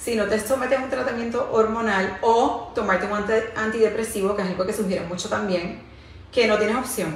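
Light background noise and audible room echo accompany a woman as she talks. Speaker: wellness vlogger. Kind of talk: casual vlog chat. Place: home room.

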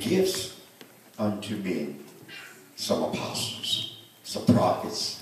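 A man with ordinary pitch variation, strong room echo and light background noise. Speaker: minister at consecration. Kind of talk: sermon. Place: church. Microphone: pa.

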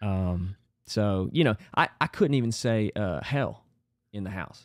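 Against a quiet background, the voice comes at a fairly slow pace with a dry sound and no echo. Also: man. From North Carolina. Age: 30s. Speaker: former wrestling coach. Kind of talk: casual chat. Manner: halting, many fillers. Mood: reflective, personal storytelling. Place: home room. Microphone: studio mic.

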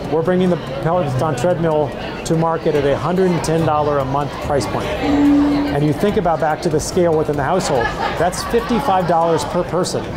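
A man speaks with ordinary pitch variation over crowd noise in the background. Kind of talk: interview answer. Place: hall. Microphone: lapel.

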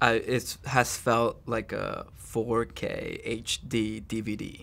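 Vocal fry runs through a man's monotone, flat intonation. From El Salvador. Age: 30s. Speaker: author. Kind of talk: interview answer. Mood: reflective, calm, talking about trauma. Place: studio.

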